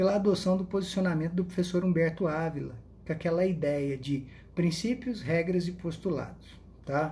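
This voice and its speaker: The tone is dark and mellow, with ordinary pitch variation. Audible room echo surrounds it. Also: man, high pitch for a man, moderate pace. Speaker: law professor. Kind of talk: lecture. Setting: Instagram live stream.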